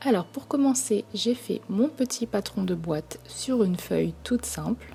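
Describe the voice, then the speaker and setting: Soft-spoken delivery unfolds fairly slowly. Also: woman. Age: 30s. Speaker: craft tutorial creator. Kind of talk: tutorial.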